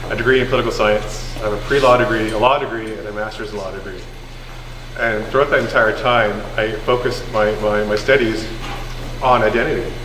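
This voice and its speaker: A man speaks in a monotone, flat intonation. Noticeable background noise and audible room echo come through. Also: medium pitch for a man, fairly quick pace. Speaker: government policy advisor on identity law. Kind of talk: public presentation at community session. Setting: community hall with audience. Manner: halting, many fillers and repetitions.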